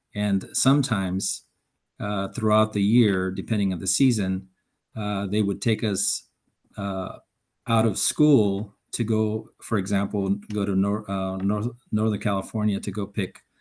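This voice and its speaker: A man with a Spanish accent speaks at a fairly low pitch and fairly slow pace. His intonation is monotone and flat against a quiet background. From Mexico (Jalisco), raised in US from age nine. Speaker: environmental professional, panelist. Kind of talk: panel discussion. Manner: halting, many fillers.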